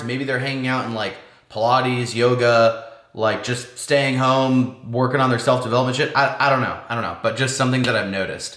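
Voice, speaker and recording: A man with a West Coast US accent talks at medium pitch and a fairly quick pace. Noticeable background noise and audible room echo come through. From Washington State. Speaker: lifestyle vlogger. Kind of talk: casual vlog monologue. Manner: fast; casual, filler-heavy.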